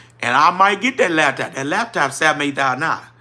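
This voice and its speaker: With a New Orleans accent, a man talks at a very fast pace in an animated, bright, sharp tone. His intonation is lively. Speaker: trucking business owner, livestream host. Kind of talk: livestream chat reading viewer comments. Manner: casual, animated.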